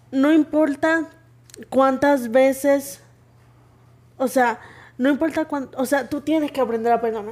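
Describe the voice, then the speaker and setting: The speaker leaves long pauses, and often. The intonation stays fairly even. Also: woman, high pitch for a woman, fairly slow pace. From Puerto Rico. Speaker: guest sharing life story. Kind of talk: testimony.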